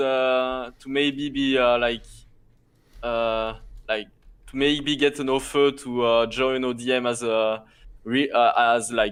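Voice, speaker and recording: A man with a French accent at a very slow pace, with fairly even intonation. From France. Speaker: video game co-caster. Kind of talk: casual chat. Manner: halting, many fillers.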